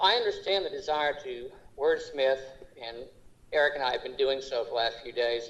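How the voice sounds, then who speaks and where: This man has an Oklahoma accent and a fairly high pitch. He talks at a moderate pace with ordinary pitch variation. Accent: Oklahoma accent, noticeable. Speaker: school board member. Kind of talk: board meeting debate. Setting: remote video meeting.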